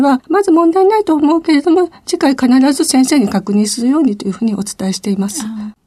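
A woman's dark, mellow tone with lively intonation at a fairly quick pace. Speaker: pharmacist. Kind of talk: radio interview. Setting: studio.

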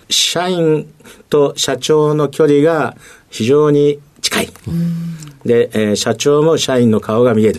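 Talking at a very slow pace, a man speaks with a fairly high pitch and ordinary pitch variation. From Tokyo, Japan. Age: 60s. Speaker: company president. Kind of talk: interview. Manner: many fillers, halting.

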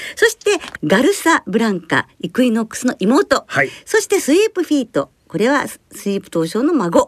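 A woman's high voice at a moderate pace with very wide pitch swings, big swings in loudness and a dry, close sound with no echo. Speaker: radio host and horse racing commentator. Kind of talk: casual chat. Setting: studio. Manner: formal.

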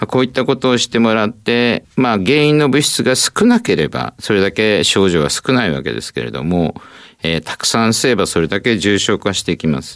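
Lively intonation and vocal fry come through in a dry, close sound with no echo. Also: man, medium pitch for a man, moderate pace. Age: 60s. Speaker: ENT professor and allergy specialist. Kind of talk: expert interview. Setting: studio.

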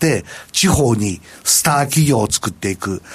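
A man is speaking. His pitch swings very widely. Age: 70s. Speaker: company president. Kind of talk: interview.

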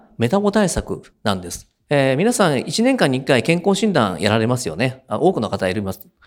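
A man at a moderate pace, his pitch swinging very widely, on a very clean recording with a silent background. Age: 50s. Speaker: company CEO. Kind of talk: investor presentation. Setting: stage with audience. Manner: hesitant, many fillers.

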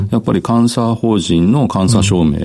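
Noticeable noise sits in the background. The man's voice is pitched fairly low. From Japan, Kitakyushu (Fukuoka). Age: 50s. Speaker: company president. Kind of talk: radio interview. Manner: hesitant, many fillers.

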